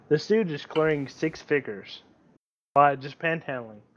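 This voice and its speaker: A man speaks with an ordinary speaking voice at a fairly high pitch. His pace is fairly slow, with ordinary pitch variation. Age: 20s. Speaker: sim racer. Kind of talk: casual chat.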